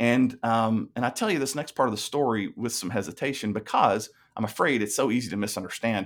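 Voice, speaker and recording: On a very clean recording with a silent background, a man with a Tennessee accent speaks fairly quickly at medium pitch. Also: ordinary pitch variation. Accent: Southern US (Tennessee). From US South, Tennessee. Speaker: pastor. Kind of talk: testimony.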